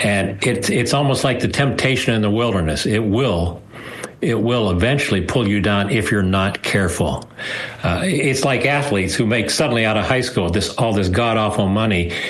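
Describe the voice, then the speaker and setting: A man's fairly low voice with an American accent, very even loudness, audible room echo and noticeable background noise. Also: ordinary pitch variation, moderate pace. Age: 70s. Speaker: nonprofit founder and author. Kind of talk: interview. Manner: halting.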